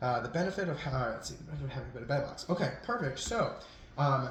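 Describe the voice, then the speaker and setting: Lively intonation runs through a man's fairly high voice. Audible room echo and noticeable background noise come through too. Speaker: real estate wholesaling team leader. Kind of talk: recorded training briefing. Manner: fast; hesitant, many fillers.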